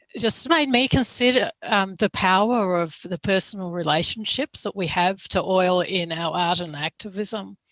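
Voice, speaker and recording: Speaking at a moderate pace with hardly any pauses, a woman uses a medium pitch with ordinary variation in a dry, close sound with no echo. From Australia. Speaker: academic moderator. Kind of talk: panel discussion. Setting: video call.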